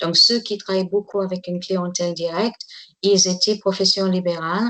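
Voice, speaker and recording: The speaker is a woman. She keeps her intonation fairly level. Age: 60s. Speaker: tour guide. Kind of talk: interview testimony. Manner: halting.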